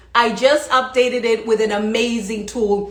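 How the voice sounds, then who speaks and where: A woman's fairly high, animated voice at a moderate pace, with noticeable background noise. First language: not English. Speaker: leadership coach. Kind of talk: motivational livestream talk. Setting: live stream.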